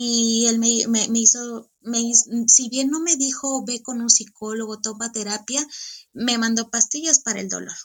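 A woman speaks at a fairly slow pace. Her voice is fairly high, with fairly even intonation. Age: 30s. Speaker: coaching client sharing testimony. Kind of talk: testimony. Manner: halting, with frequent repetitions.

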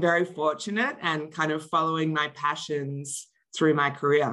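A woman speaks with an Australian accent in a very deep, low pitch and monotone, flat intonation. Her pace is moderate, and the background is quiet. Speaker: marketing executive. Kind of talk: interview.

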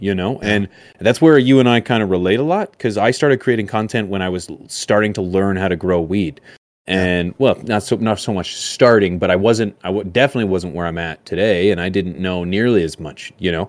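Talking at a fairly quick pace, a man uses an ordinary speaking voice. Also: fairly low pitch for a man, ordinary pitch variation. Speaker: podcast host. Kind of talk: casual chat.

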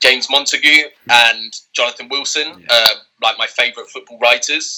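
A man speaks with a southern English accent. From southern England. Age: 20s. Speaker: author. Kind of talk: interview.

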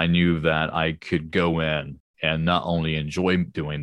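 The sound is dry and close with no echo, the intonation fairly even and the background quiet. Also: man. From lived in many countries. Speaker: YouTuber and animation studio founder. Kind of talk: casual interview.

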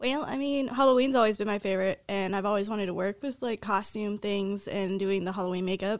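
A woman with an unremarkable speaking voice talks at a fairly quick pace and medium pitch, with ordinary pitch variation. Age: 20s. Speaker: soldier and cosplayer. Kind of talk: interview.

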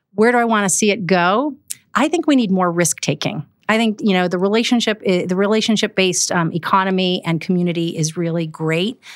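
In an American accent, a woman speaks at a fairly quick pace with medium pitch and ordinary pitch variation, a normal speaking voice, on a very clean recording with a silent background. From Milwaukee, Wisconsin. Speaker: public servant and business owner. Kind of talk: podcast interview.

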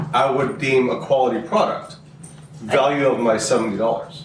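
A man speaks at a moderate pace with ordinary pitch variation. Noticeable background noise runs under his voice. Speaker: truck driver, host's husband. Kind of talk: casual family chat.

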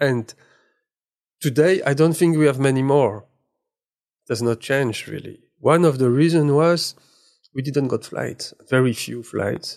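A man with a French accent speaks at a fairly slow pace in a fairly high pitch, with ordinary pitch variation and long, frequent pauses. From eastern France, near German border. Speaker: magazine director and photographer. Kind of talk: interview. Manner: halting.

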